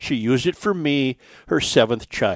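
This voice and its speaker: A man with an American accent speaks in an ordinary speaking voice at a medium pitch with lively intonation, recorded dry and close with no echo in a very clean recording against a silent background. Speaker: podcast host. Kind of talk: casual talk show. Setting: studio.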